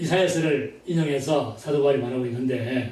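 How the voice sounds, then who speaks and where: Amid audible room echo and noticeable background noise, a man with a fairly high pitch and ordinary pitch variation talks at a fairly slow pace. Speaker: pastor. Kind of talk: sermon.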